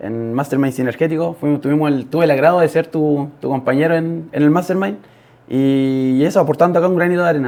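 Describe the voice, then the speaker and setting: A man with a Chilean accent talks very fast in a fairly high pitch, with a dark, mellow tone and ordinary pitch variation. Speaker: podcast guest, young father. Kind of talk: interview testimony. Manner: halting, many fillers.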